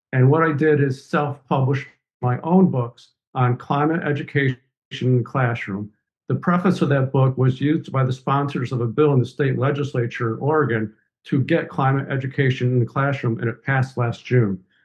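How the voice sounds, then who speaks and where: A man's medium-pitched, somewhat breathy voice at a moderate pace with fairly even intonation. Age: 60s. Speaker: professor and environmental justice author. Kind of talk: podcast interview.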